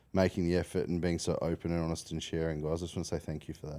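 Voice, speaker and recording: With an Australian accent, a man speaks at a very deep, low pitch in a dark, mellow tone. The recording is very clean, with a silent background. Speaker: finance podcast host, mortgage broker. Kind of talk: casual interview chat. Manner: animated.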